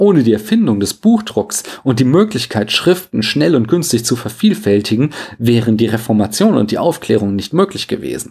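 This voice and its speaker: Male voice at medium pitch, somewhat breathy, with very wide pitch swings and a moderate pace. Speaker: philosophy podcaster. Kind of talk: scripted lecture-style monologue.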